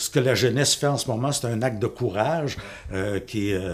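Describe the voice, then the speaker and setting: With lively intonation and a fairly quick pace, a somewhat breathy man speaks on a very clean recording with a silent background. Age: 60s. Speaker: teacher and parent. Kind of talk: political testimony. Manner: halting.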